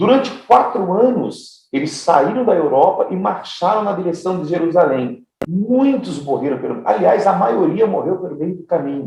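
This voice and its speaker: A man talks in a high voice with hardly any pauses. His pitch swings very widely. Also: moderate pace. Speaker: pastor teaching theology class. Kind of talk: lecture. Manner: repeats words, halting in places.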